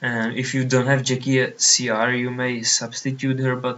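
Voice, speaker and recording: Someone with a Czech accent speaks at a fairly slow pace in a monotone, flat intonation. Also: man. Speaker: online card game player. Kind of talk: gameplay commentary. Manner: halting.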